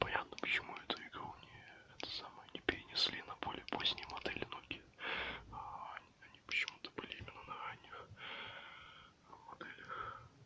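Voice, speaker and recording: A man whispering, with long, frequent pauses, over noticeable background noise. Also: moderate pace, big swings in loudness. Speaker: ASMR creator. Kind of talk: ASMR video, casual talk to camera. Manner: whispered.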